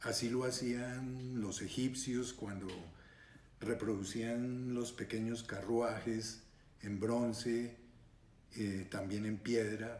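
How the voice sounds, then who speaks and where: A man talks at a very slow pace with long, frequent pauses. His monotone, flat delivery carries audible room echo. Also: medium pitch for a man. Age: 70s. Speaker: retired surgeon and scale modeler. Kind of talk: interview monologue. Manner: hesitant with frequent fillers.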